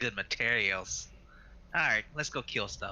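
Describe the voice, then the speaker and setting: Putting on a character voice, a man speaks at a moderate pace. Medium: actual play. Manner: terse, grunting.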